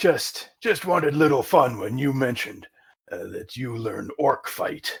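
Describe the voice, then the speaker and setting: Putting on a raspy character voice, a man speaks at a fairly slow pace with fairly high pitch. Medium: actual play. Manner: broken, clipped grammar; gruff, boastful.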